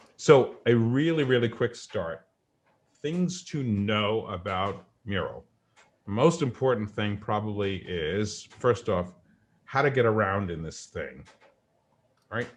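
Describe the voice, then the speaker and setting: In a strong New York accent, a man talks at a very slow pace with long, frequent pauses. His medium-pitched voice has lively intonation. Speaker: coach demonstrating a virtual whiteboard. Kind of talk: tutorial.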